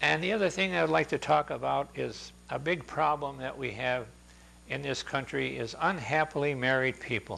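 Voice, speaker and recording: A man speaks at medium pitch and a moderate pace, his bright, sharp tone swinging very widely in pitch with vocal fry over a quiet background. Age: 80s+. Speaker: senior speaker on healthy aging. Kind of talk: talk to a live audience. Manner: halting, many fillers.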